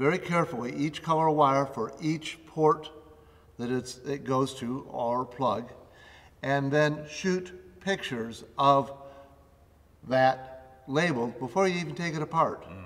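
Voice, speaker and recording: A man with a fairly high pitch speaks very slowly. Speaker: facilities management expert co-host. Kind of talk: instructional tutorial. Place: studio.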